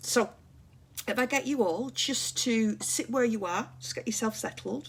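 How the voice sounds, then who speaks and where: Vocal fry at a fairly slow pace, broken by long, frequent pauses. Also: woman. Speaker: mental health livestream host. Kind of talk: casual livestream chat with viewers. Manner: quiet and calm.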